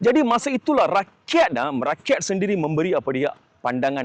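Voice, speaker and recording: With music in the background, a man talks at a moderate pace in very wide pitch swings, the sound dry and close with no echo. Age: 40s. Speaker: political candidate and activist. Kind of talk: self-introduction interview. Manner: many fillers and hesitations, code-switching.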